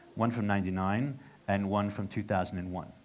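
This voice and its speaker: A man with an American accent, fairly low pitch and ordinary pitch variation at a very fast pace, with audible room echo. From United States. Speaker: interviewer. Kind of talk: casual interview. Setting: fan cafe venue.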